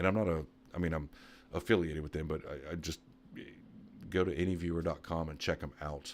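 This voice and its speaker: On a very clean recording with a silent background, a soft-spoken man with a very deep, low pitch talks very fast with fairly even intonation. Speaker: computer repair tech YouTuber. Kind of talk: live stream Q&A. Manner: quiet, speaking softly; casual, with many fillers.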